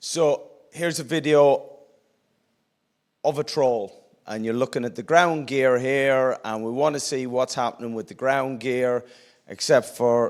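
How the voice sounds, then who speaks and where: In a very clean recording with a silent background, a man speaks at a medium pitch. He goes at a fairly slow pace with fairly even intonation. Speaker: conference speaker. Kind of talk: conference presentation. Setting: stage with audience. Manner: loud.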